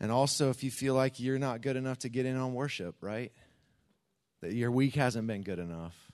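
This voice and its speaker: Over a quiet background, a man in a normal speaking voice talks at medium pitch and a moderate pace with ordinary pitch variation. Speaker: church pastor. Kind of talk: church announcements and prayer. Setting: church.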